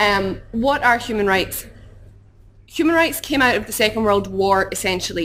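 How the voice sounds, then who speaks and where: A woman's fairly high, lively voice with a Glaswegian accent and audible room echo. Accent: Glaswegian Scottish. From Scotland, Glasgow. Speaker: human rights campaigner. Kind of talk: conference talk. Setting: conference hall with audience. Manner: fast.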